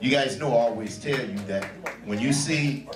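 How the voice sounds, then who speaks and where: His pitch swings very widely around a medium level as a man speaks with audible room echo. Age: 60s. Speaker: jazz club emcee, Navy veteran. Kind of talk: emcee stage patter. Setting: stage with audience. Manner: animated.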